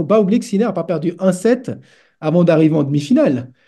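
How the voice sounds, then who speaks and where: Lively intonation from a high-pitched man with a dark, mellow tone, over a quiet background. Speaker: tennis statistics analyst. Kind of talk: casual interview with detailed stats analysis. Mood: relaxed, animated. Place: home room.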